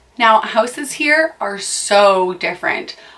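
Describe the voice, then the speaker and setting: A woman with an American accent, medium in pitch, amid noticeable background noise. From US, near Boston, Massachusetts. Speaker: vlogger. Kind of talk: casual vlog monologue. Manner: chatty, with frequent fillers.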